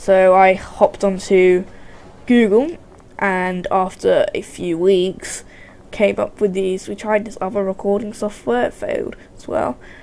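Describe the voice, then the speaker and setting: With a British accent, a woman speaks fairly slowly at a medium pitch in a dark, mellow tone, her loudness swinging widely. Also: ordinary pitch variation. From UK. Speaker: gaming YouTuber. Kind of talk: let's play commentary. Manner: halting, many restarts.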